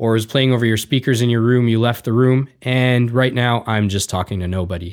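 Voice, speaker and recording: A man with a Canadian accent has a plain, everyday voice of medium pitch and fairly even intonation. The recording is very clean, with a silent background. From Canada, Indian heritage. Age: 40s. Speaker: podcast host, musician. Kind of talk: casual chat.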